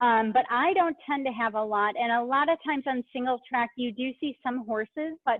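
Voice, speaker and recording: A woman speaks with lively intonation. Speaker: cycling advocacy staff, webinar host. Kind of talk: webinar Q&A. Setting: online webinar from a bike shop. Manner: loud; casual, filler-heavy.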